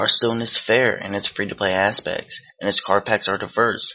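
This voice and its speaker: A man with an ordinary speaking voice and a fairly low pitch talks at a fairly quick pace. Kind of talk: video game award review narration.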